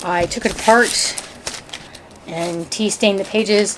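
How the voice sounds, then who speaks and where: Over noticeable background noise, a woman speaks very slowly in a monotone, flat intonation. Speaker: crafter / DIY channel host. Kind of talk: casual craft tutorial talk to camera.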